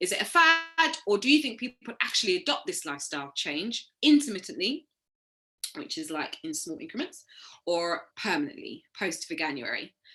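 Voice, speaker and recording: A woman's fairly high, bright, sharp voice with vocal fry, very wide pitch swings, big swings in loudness, and a moderate pace. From Caribbean. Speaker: yoga teacher trainee. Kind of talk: recorded presentation. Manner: hesitant, many ums.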